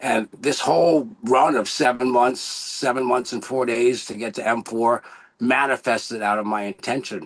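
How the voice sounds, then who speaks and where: A man's voice sits at a medium pitch, with ordinary pitch variation and a moderate pace. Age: 60s. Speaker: network marketer, former acupuncturist. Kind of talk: testimony. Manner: animated.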